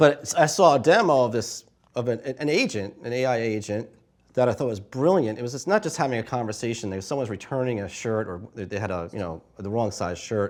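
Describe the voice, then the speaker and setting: With a New York accent and lively intonation, a medium-pitched man talks at a very fast pace on a very clean recording with a silent background. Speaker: marketing analytics panelist. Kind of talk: panel discussion.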